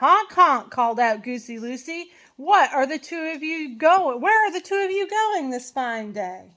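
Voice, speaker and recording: A woman puts on a character voice, high-pitched and projected, at a moderate pace with hardly any pauses, on a very clean recording with a silent background. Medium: read story.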